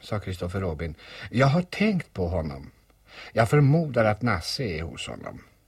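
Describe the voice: The words are read aloud plainly. Nothing more is added to the reading.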